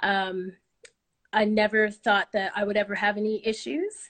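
With an American accent, a woman talks at a moderate pace and medium pitch in an unremarkable speaking voice. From Oklahoma, US. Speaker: storyteller. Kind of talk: storytelling.

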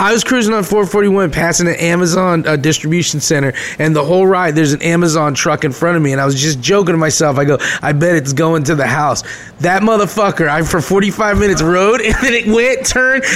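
A man's high-pitched voice with lively intonation and very even loudness at a fairly quick pace, amid noticeable background noise. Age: 30s. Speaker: podcast co-host. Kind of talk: casual chat.

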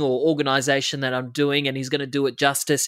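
On a very clean recording with a silent background and a dry, close sound with no echo, a man with an Australian accent speaks in a fairly high pitch. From Australia, western Sydney. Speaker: TV reporter. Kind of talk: interview. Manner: halting, many fillers.

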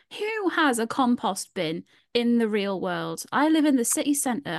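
A woman with a Newcastle accent talks at a fairly high pitch, her voice dry and close with no echo against a quiet background. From Newcastle, northern England. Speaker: podcast host. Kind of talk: casual chat.

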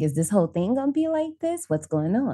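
A woman in an American accent with an animated tone, moderate pace and a quiet background. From Indiana, US. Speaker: horror podcast host. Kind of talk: casual chat.

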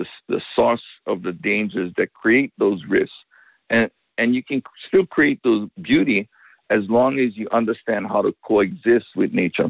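The speaker is a man with a Hawaiian accent. He talks at a fairly slow pace. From Makaha, Oahu, Hawaii. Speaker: surfer and ocean safety expert. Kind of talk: interview.

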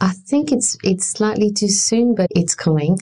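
A woman speaks in a French accent at a moderate pace. Her tone is dark and mellow. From France. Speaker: arts and culture worker, mother. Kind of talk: interview conversation.

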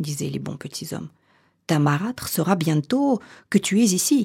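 A woman speaks at a fairly slow pace in a warm, theatrical tone with vocal fry and very wide pitch swings. The sound is dry and close, with no echo. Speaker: storyteller and coach. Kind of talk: fairy tale narration, read aloud in a storytelling voice. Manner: slow, measured, theatrical storyteller with dramatic emphasis; warm and intimate, addressing listener as tu.

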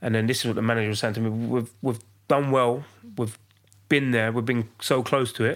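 The recording is very clean, with a silent background. A man speaks at a fairly quick pace and a medium pitch, with monotone, flat intonation. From East London. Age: 30s. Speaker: professional footballer. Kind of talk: casual chat.

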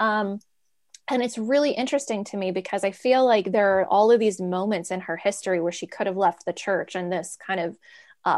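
In an American accent, a woman with a plain, everyday voice and a medium pitch speaks at a moderate pace with ordinary pitch variation against a quiet background. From US, DC area and New York. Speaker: artist and former cult member. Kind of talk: interview testimony.

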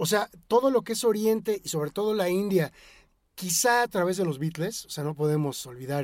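This is a man speaking in a Mexican accent. The sound is dry and close, with no echo. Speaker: rock music expert. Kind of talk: casual chat. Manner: halting.

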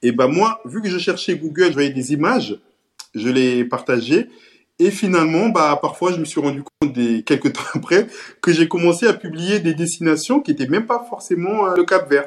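A man with a high voice speaks at an even, moderate speed, his intonation lively. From Cape Verde (Santiago island), moved to France at 10. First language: Cape Verdean Creole (speaking French). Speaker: social media page creator. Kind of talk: casual interview. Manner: hesitant, many fillers and repetitions.

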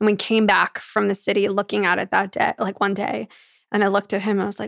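Very fast and with vocal fry, a woman with an American accent speaks at a medium pitch with fairly even intonation, in a dry, close sound with no echo. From New York. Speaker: entrepreneur. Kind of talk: casual chat.

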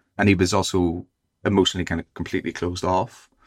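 In a Belfast accent, a man with a very deep, low pitch speaks in a monotone, flat intonation, with a dry, close sound and no echo. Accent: Belfast Northern Irish. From Northern Ireland. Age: 30s. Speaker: novelist. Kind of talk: interview.

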